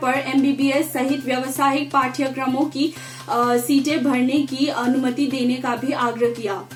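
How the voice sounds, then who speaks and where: Over noticeable background noise, a woman talks in a high, monotone voice with flat intonation. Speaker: news anchor (student practice). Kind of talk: news bulletin read.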